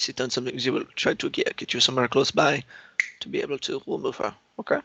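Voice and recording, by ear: A man talks fast at a medium pitch, his bright, sharp tone carrying vocal fry and a slightly husky edge, with fairly even intonation in a dry, close sound with no echo.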